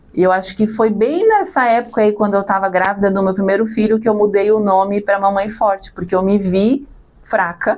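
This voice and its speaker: Her loudness very even, a woman talks at medium pitch and a moderate pace with fairly even intonation. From Santa Catarina, southern Brazil. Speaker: mother and social media creator. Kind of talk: podcast interview.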